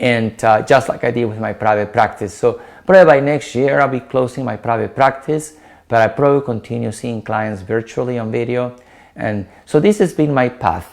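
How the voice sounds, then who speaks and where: At a moderate pace, a man with a Peruvian accent talks at a medium pitch with ordinary pitch variation. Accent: Peruvian Spanish accent, noticeable. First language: Spanish. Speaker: dietitian. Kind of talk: talk to an online meetup.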